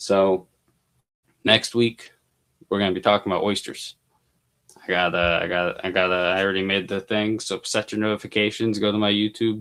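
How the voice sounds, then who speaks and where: A man talks at a moderate pace in a monotone, flat intonation. Long, frequent pauses break up his speech. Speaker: mushroom grower and educator. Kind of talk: live stream tutorial. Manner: filler-heavy, many ums.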